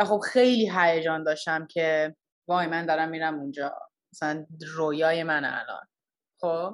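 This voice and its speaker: A woman with fairly low pitch and fairly even intonation speaks at a moderate pace, leaving long, frequent pauses. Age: 20s. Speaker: product design engineer. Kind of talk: casual interview.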